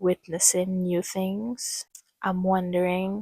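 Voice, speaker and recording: A woman speaks at a very slow pace, somewhat breathy, with a dark, mellow tone. The sound is dry and close with no echo. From Trinidad and Tobago. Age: 20s. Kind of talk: casual talk to camera.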